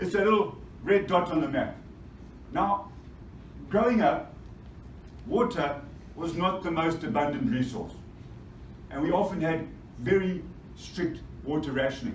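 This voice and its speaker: A man with a Zimbabwean accent and a high pitch, lively intonation, a moderate pace, long and frequent pauses, audible room echo and noticeable background noise. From Zimbabwe, Bulawayo. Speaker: mining energy specialist. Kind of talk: conference presentation. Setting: stage with audience. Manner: energetic.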